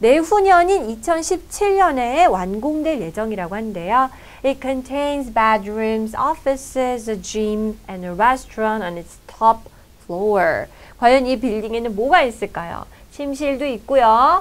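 A woman's high voice at a very slow pace, with very wide pitch swings and big swings in loudness. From South Korea. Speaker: English teacher. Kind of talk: lecture. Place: studio.

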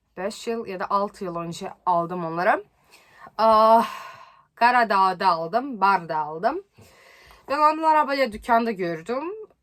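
Speaking at a very slow pace with long, frequent pauses, a woman with a non-native accent uses lively intonation at a medium pitch. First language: not Turkish (speaking Turkish). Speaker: YouTuber. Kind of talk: vlog.

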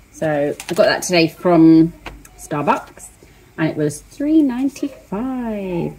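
Someone is talking over noticeable background noise. The speaker is a woman. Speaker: diet vlogger. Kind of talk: casual vlog chat. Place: kitchen. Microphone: phone near.

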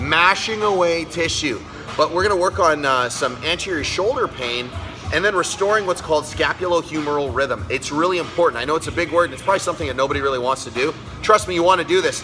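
Over clear music in the background, the speaker talks at a very fast pace with ordinary pitch variation. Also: man. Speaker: fitness coach. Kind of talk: tutorial. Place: gym. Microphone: phone near.

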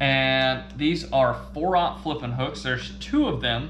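Slowly, a man speaks at a medium pitch. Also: ordinary pitch variation.

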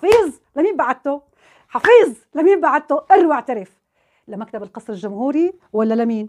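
A woman speaks in a high pitch with an animated tone and very wide pitch swings over a quiet background. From Syria. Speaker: youtuber, political commentator. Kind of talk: vlog monologue. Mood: indignant, accusatory. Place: home room. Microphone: lapel.

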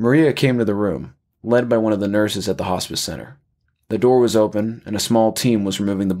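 With fairly even intonation, a natural reading voice sounds over a quiet background.

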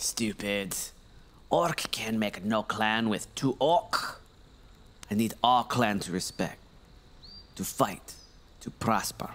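A man's growling, put-on character voice at medium pitch, very slow, with long, frequent pauses. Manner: broken speech, hostile growling.

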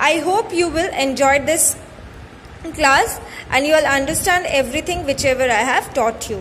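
Over light background noise, a woman talks at a high pitch with ordinary pitch variation. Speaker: school teacher. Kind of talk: lecture. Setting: online class recording. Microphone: phone near.

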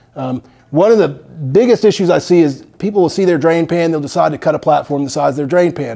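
A man talks at a very fast pace in a dark, mellow tone. His pitch variation is ordinary, and the background is quiet. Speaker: HVAC installer trainer. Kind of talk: tutorial.

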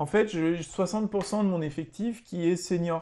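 A man speaks with a high pitch and ordinary pitch variation. His tone is dark and mellow. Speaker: teacher. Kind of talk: tutorial. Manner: hesitant, many filler sounds. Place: home room. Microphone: webcam.

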